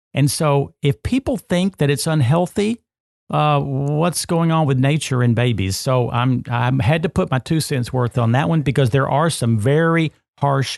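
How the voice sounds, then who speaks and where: This is a normal speaking voice with lively intonation, at a moderate pace. The sound is dry and close with no echo, the loudness stays very even, and the background is quiet. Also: man, fairly high pitch for a man. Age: 60s. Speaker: health and nutrition podcast host. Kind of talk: podcast conversation.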